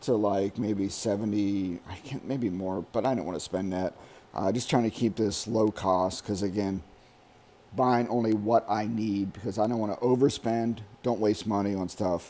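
With a dark, mellow tone and fairly low pitch, a man speaks at a moderate pace with fairly even intonation. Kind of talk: casual vlog chat. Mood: ranting about overspending. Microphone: phone near.

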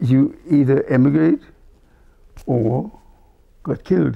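Here a man speaks at a medium pitch. His tone is dark and mellow. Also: quiet background. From Berlin, Germany. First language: German. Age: 80s+. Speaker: cantor, Holocaust survivor. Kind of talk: interview answer. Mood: reflective, solemn memories. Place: home room. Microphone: lapel.

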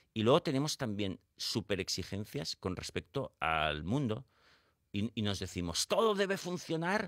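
A man with vocal fry speaks fairly slowly with very wide pitch swings, in a dry, close sound with no echo on a very clean recording with a silent background. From Spain, Barcelona. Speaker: psychologist and author. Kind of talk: radio interview. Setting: radio studio.

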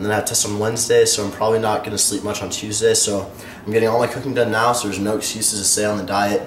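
Amid light background noise and audible room echo, a man rattles along at a very fast pace in a monotone, flat intonation. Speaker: fitness vlogger. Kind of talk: casual vlog chat. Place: kitchen.

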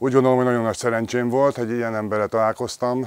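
The background is quiet. The sound is dry, with no echo. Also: man. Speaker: former handball player. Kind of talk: interview testimony. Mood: warm, appreciative. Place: garden. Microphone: lapel.

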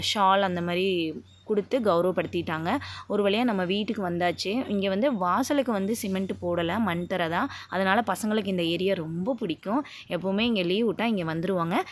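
A woman speaks at a medium pitch with ordinary pitch variation in a plain, everyday voice. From Tamil Nadu, Pollachi area (Kongu region). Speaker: vlogger. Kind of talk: travel vlog narration. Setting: on a bus and walking outdoors. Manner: casual, conversational.

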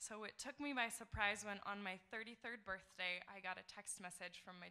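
Against a quiet background, a woman with vocal fry speaks at a moderate pace with fairly even intonation. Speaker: storyteller. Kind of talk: live storytelling. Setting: stage with audience. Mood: warm, reflective, lightly humorous. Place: stage. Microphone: podium.

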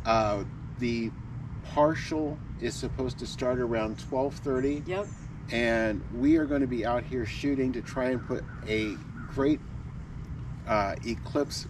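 A man at a fairly slow pace, long and frequent pauses, ordinary pitch variation, dry sound with no echo, noticeable background noise. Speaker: travel vlogger. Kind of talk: casual vlog chat. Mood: excited, cheerful. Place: street. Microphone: camera far.

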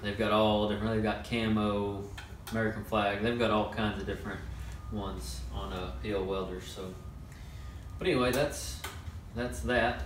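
There is audible room echo and light background noise. A man talks at a moderate pace with a fairly low pitch. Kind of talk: casual tutorial talk. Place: workshop. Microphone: camera far.

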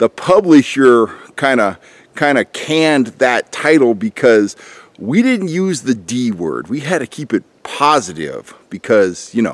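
A man's voice with very wide pitch swings, in a dry sound with no echo. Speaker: fishing channel host. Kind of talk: casual vlog chat. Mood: wry, opinionated. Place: forest. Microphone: phone near.

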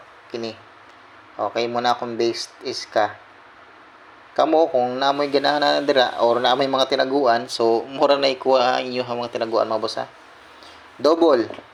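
Against noticeable background noise, a man at a medium pitch speaks at a moderate pace with fairly even intonation and long, frequent pauses. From Visayas, Philippines. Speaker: lotto tips vlogger. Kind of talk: casual vlog monologue.

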